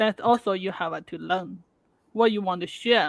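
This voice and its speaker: A woman speaks with a non-native accent at a moderate pace. The sound is dry and close, with no echo. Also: very clean recording, silent background. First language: not English. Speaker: interviewer. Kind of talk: interview. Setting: live video stream. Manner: halting, repeats words.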